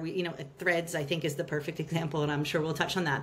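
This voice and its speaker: There is noticeable background noise as a woman speaks with an American accent. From United States. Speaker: marketing executive. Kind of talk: podcast interview.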